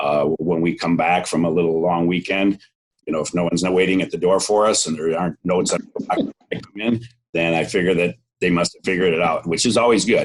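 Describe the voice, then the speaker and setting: A man's very deep, low voice in an American accent, very fast, with fairly even intonation. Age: 60s. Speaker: cheesemaker and dairy business owner. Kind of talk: interview.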